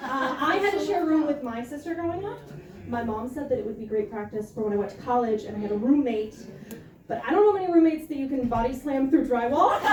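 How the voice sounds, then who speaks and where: A woman's high, very fast speech with lively intonation, plus audible room echo and noticeable background noise. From small-town US. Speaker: stand-up comedian. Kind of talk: stand-up. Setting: stage with audience.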